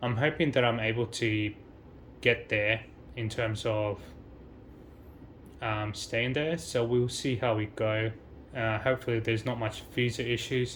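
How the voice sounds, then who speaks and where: A man in an Australian accent at a fairly slow pace, fairly even in intonation, with long, frequent pauses. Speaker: travel vlogger. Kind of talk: casual vlog monologue. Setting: high-rise hotel room with a view. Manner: hesitant, many fillers.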